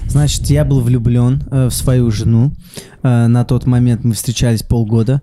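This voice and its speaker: A man speaks fairly slowly with very even loudness. There is noticeable background noise. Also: medium pitch for a man, ordinary pitch variation. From Saint Petersburg. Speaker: comedian. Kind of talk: casual chat.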